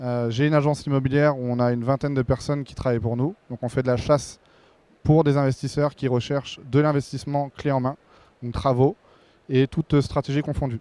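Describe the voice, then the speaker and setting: A man's dark, mellow voice, fairly high in pitch, with fairly even intonation, a fairly quick pace and a dry, close sound with no echo. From Brittany, France. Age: 30s. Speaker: real estate investor, panel moderator. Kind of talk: panel discussion. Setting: stage with audience at trade show. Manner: hesitant, many fillers.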